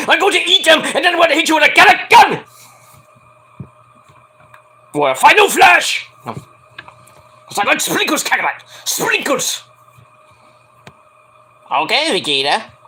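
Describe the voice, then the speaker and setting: A man's put-on character voice, extremely high in pitch and theatrical in tone, with long, frequent pauses. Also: moderate pace. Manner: loud, theatrical, cartoonish.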